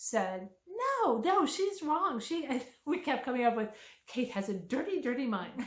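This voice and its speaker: In a room with audible echo, a woman talks with an American accent. Her pitch is high and swings very widely. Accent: Pennsylvania accent, noticed by outsiders. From Pennsylvania. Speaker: author. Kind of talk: casual chat.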